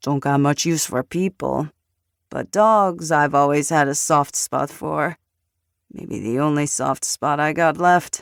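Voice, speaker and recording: The speaker uses a put-on character voice that is gruff. Its pitch sits in the low-to-middle range. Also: fairly slow pace, very clean recording, silent background. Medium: read story. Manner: gruff, threatening.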